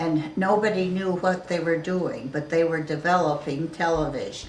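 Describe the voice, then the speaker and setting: A woman with a fairly low pitch speaks at a moderate pace with fairly even intonation against noticeable background noise. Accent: American. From New Jersey. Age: 80s+. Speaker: interviewee. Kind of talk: family interview. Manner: halting.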